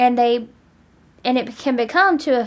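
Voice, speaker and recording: A woman speaks loudly at a high pitch. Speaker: vlogger. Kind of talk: casual vlog monologue. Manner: talkative.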